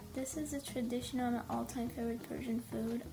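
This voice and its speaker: Noticeable background noise beneath talk at a moderate pace. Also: woman. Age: 20s. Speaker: home cook, food vlogger. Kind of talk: cooking tutorial voiceover.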